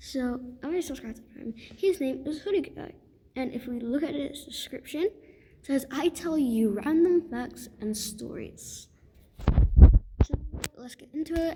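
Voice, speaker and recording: The voice is quiet, with lively intonation. Noticeable background noise can be heard. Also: woman. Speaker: reaction video creator. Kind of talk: casual reaction commentary.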